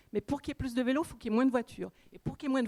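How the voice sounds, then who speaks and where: Recorded with a dry, close sound and no echo, a woman talks in a high pitch. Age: 60s. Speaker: audience member. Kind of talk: public question.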